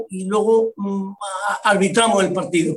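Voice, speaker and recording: A man's fairly even intonation is joined by audible echo from the room. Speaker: retired football referee and media pundit. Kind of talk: casual interview.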